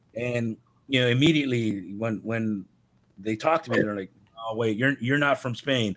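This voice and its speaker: A man's medium-pitched voice moves along at a moderate pace. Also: ordinary pitch variation. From Los Angeles, US. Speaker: metal bassist and vocalist. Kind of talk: casual chat.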